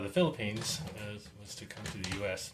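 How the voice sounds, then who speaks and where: Noticeable background noise and audible room echo surround a man speaking at a fairly low pitch and a fairly quick pace. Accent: American. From California, Monterey Peninsula. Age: 60s. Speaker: dentist. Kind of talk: testimony. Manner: halting.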